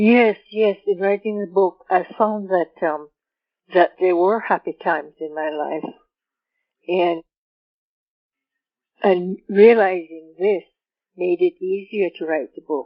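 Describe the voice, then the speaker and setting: A woman at medium pitch, very slow, with long, frequent pauses and fairly even intonation. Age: 70s. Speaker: author. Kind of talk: interview. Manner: halting.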